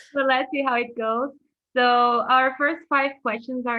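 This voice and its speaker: Here a woman speaks with a Portuguese accent. Her voice is high-pitched and her pace fairly slow. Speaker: language exchange student. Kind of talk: casual chat.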